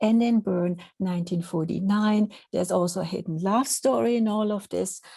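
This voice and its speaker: The voice has a Swiss accent and is somewhat breathy. Its tone is dark and mellow. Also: woman, medium pitch for a woman, ordinary pitch variation, moderate pace. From Switzerland. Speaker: professor. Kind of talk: lecture. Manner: halting.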